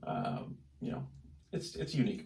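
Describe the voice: A man talks at a moderate pace with vocal fry and a slightly mellow tone. Room echo is audible.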